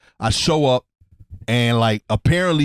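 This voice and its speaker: On a very clean recording with a silent background and a dry, close sound with no echo, a man with an American accent speaks at a moderate pace and medium pitch, with ordinary pitch variation. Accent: New York, remarked on by commenters. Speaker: podcast co-host, comedian. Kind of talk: casual chat. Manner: casual, filler-heavy slang.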